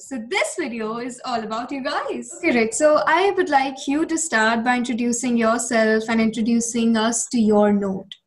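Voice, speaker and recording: A woman with an Indian accent, high-pitched, with lively intonation at a moderate pace amid noticeable background noise. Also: hardly any pauses. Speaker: podcast host. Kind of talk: podcast intro.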